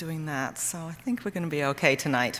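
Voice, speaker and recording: Lively in intonation, a woman with a British accent talks at a very fast pace. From Britain. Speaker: medical herbalist. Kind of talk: talk to an audience. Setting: church hall with audience.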